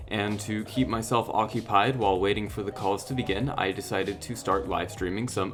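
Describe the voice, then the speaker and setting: Over music in the background, a man with an American accent talks at a fairly quick pace in a fairly low pitch with ordinary pitch variation. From California. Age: 20s. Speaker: video editor. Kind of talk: video diary narration.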